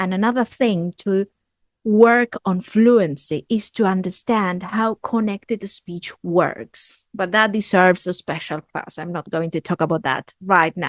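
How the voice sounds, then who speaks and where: A woman speaks at a fairly slow pace in an Argentine accent, with a medium pitch and ordinary pitch variation. The sound is dry and close with no echo, over a quiet background. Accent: Argentinian accent in English. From Argentina. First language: Spanish. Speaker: English teacher. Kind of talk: tutorial.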